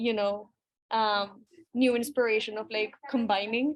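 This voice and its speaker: A woman with a Spanish accent speaks at a moderate pace, fairly high in pitch with fairly even intonation. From Colombia. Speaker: webinar moderator, music artist. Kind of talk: panel webinar conversation.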